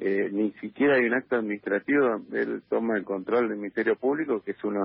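A man's fairly low voice carries ordinary pitch variation and moves at a moderate tempo. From Argentina. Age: 30s. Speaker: politician. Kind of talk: phone interview. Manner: halting, many fillers and repetitions.

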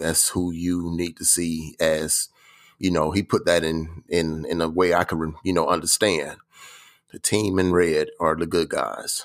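A man's very deep, low voice in a flat monotone, at a fairly slow pace. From Atlanta, Georgia. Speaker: sports fan guest. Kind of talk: casual chat.

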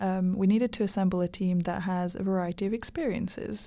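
Very clean recording with a silent background. A woman speaks at a moderate pace and medium pitch in a dark, mellow tone. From Hungary. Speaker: student podcast co-host. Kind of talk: scripted intro; casual podcast chat.

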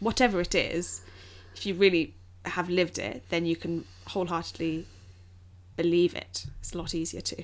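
Speaking at a moderate speed, this woman talks in an English accent. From England. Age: 20s. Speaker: podcast co-host. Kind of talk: casual chat.

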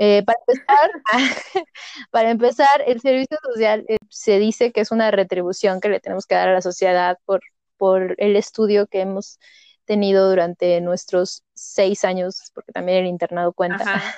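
With a normal speaking voice, a woman talks at a moderate pace and medium pitch with ordinary pitch variation, in a dry, close sound with no echo. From Mexico, Toluca. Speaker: doctor. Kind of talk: casual chat.

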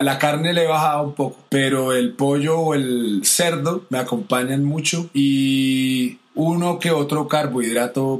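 A man's fairly high-pitched voice, fairly slow, with ordinary pitch variation and noticeable background noise. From Colombia, Bogotá. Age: 40s. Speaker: singer and percussionist. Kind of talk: testimony.

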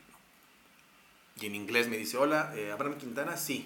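With a central Mexican accent, a man talks at a very slow pace in a medium pitch with lively intonation, over noticeable background noise and audible room echo. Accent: Mexican Spanish (central Mexico). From Mexico, Texcoco. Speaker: advertising creative. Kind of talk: casual chat.

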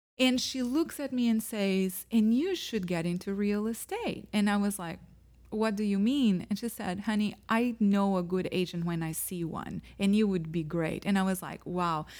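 A woman's voice sits at a medium pitch. She speaks with hardly any pauses. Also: ordinary pitch variation, moderate pace. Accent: Portuguese. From Portugal. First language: Portuguese. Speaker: real estate agent. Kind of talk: casual interview chat.

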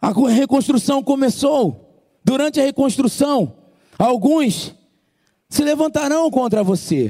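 A man with a slight Ceará accent speaks very slowly, with long, frequent pauses and very even loudness. His tone is dark and mellow, and his pitch is extremely high. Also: ordinary pitch variation. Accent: slight Ceará accent picked up. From Brazil, outside Ceará. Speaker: preacher. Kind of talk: sermon. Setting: church.

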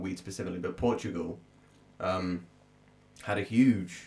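A somewhat breathy man talks at a fairly low pitch with ordinary pitch variation. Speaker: podcast co-host and musician. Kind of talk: casual chat.

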